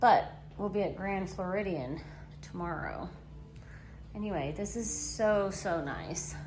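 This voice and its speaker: A woman speaking at a fairly slow pace, with long, frequent pauses, audible room echo and music in the background. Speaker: vlogger. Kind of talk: casual vlog narration. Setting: vacation resort room. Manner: speaking quietly.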